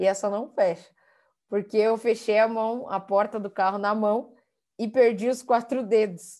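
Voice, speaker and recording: Against a quiet background, a woman speaks slowly-ish with a fairly high pitch, a dark, mellow tone and fairly even intonation. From São Paulo, Brazil (Capão Redondo periphery). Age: 20s. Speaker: guest speaker. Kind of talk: interview.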